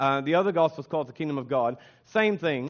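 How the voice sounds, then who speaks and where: An ordinary speaking voice from a man with an American accent, fairly high in pitch, at a fairly quick pace with ordinary pitch variation. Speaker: pastor. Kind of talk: sermon. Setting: church.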